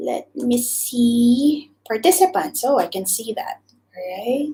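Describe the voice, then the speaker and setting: A woman's high voice in a Visayan Filipino accent, very slow, with very wide pitch swings. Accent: Filipino (Cebuano) English. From Philippines, Cebu. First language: Cebuano (Bisaya). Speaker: YouTuber, former teacher. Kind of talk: live stream chat. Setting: live stream. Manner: hesitant, filler-heavy.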